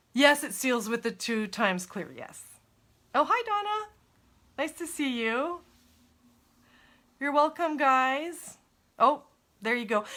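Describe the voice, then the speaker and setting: Raised and projected, a woman's high-pitched voice has a bright, sharp tone, very wide pitch swings and big swings in loudness, moving at a fairly slow pace with long, frequent pauses. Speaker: crafter. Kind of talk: tutorial. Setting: live stream. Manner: casual.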